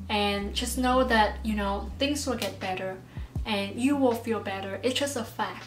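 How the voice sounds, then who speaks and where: Amid noticeable background noise and audible room echo, a woman with a non-native accent speaks at a fairly slow pace. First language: not English. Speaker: YouTuber. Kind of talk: advice vlog. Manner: casual, halting.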